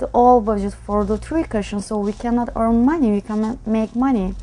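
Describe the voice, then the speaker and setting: Using fairly even intonation, a woman talks at a moderate pace with a fairly high pitch and a dark, mellow tone. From Turkey, Ankara. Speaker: pool player. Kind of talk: interview.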